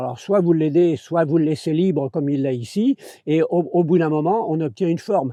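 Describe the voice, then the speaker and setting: Talking very fast, a man uses a fairly high pitch, a dark, mellow tone and ordinary pitch variation. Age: 70s. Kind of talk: casual chat. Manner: halting.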